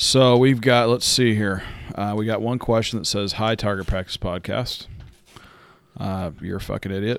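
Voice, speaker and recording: With fairly even intonation, a man of fairly low pitch speaks at a moderate pace in an unremarkable speaking voice. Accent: American. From southern California. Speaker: podcast co-host. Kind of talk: casual chat.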